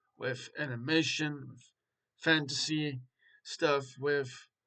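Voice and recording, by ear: A man speaks with a fairly bright tone and a fairly high pitch.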